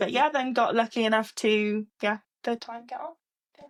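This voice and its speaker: A woman at a fairly high pitch and moderate pace, dry and close with no echo. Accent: Cardiff. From Wales, Cardiff. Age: 20s. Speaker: trainee clinical scientist. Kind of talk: casual interview chat.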